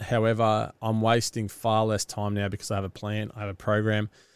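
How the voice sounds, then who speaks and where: Heard in a very clean recording with a silent background and a dry, close sound with no echo, the speaker talks at a fairly quick pace with an Australian accent. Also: man. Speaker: podcast host, business founder and amateur triathlete. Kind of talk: solo podcast monologue. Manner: casual, rambling with fillers.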